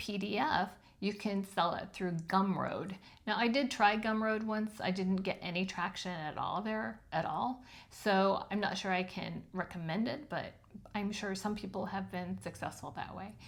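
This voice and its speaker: A woman with a plain, everyday voice speaks at a moderate pace, medium in pitch, with fairly even intonation. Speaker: self-published author and video host. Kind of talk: tutorial. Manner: casual with frequent filler ums.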